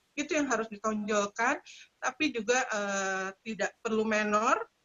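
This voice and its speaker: Talking at a moderate pace with a slight Sundanese accent, a woman shows ordinary pitch variation. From West Java (Sundanese). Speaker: makeup trainer. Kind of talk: webinar tutorial.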